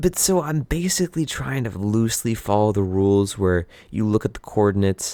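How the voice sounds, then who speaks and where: A man's voice, dark and mellow in tone. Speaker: gaming YouTuber. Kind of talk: gameplay commentary. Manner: stuttering, self-correcting; casual, filler-heavy.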